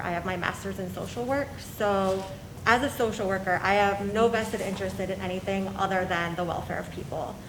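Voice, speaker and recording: Amid audible room echo and noticeable background noise, a woman with a Midwestern American accent speaks at a moderate pace and medium pitch with ordinary pitch variation. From US Midwest, Perrysburg, Ohio. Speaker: social worker, council seat applicant. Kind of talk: prepared statement.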